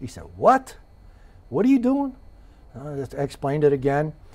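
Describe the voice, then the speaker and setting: A man at a moderate pace, somewhat breathy, with ordinary pitch variation. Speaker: interviewee. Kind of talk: interview answer. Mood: relaxed, amused storytelling. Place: studio. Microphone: lapel.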